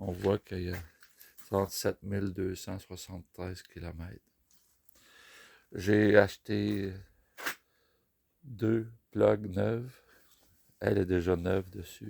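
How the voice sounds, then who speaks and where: A man with a Quebec accent speaks at a very slow pace in a very deep, low pitch with vocal fry, his fairly even intonation broken by long, frequent pauses and big swings in loudness. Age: 60s. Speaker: motorcycle rider. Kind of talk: casual talk to camera.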